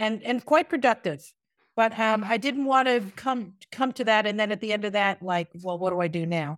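In a dry, close recording with no echo and a silent background, a woman speaks at a moderate pace with a fairly high pitch and lively intonation. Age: 60s. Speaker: retired teacher and yoga instructor. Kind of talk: interview. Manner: halting.

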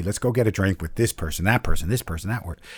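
Heard on a very clean recording with a silent background, a man with a medium pitch sounds somewhat breathy. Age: 60s. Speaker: storyteller and educator. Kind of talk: personal storytelling.

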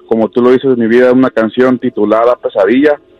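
Music plays in the background behind a man. His pitch is medium and his intonation fairly even. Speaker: caller sharing his story. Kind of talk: tearful confession of a tragedy, broken by sobs. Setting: phone call to radio show. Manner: halting, choked with emotion, voice catching on words; repeating himself, stumbling over words.

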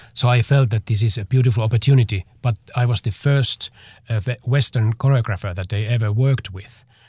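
Talking at a fairly quick pace with a Finnish accent, a man uses a medium-pitched, somewhat breathy, dark, mellow voice and fairly even intonation in a dry, close, echo-free, very clean recording with a silent background. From Finland. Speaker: dancer and choreographer. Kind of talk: interview. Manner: halting.

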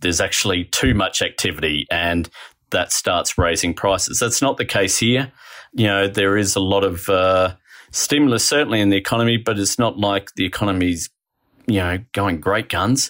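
A man's fairly low voice with an Australian accent, very even loudness and ordinary pitch variation, at a moderate pace in a very clean recording with a silent background. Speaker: economics writer. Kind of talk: interview.

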